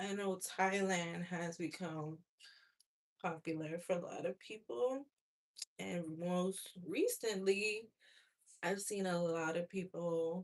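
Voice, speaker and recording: A soft-spoken woman with fairly low pitch at a very slow pace. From USA. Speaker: hair vlogger. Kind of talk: casual chat.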